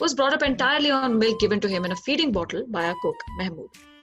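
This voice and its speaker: A woman speaks at a fairly quick pace in a fairly high pitch, her voice making very wide pitch swings. Music plays in the background. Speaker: actor. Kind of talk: storybook narration.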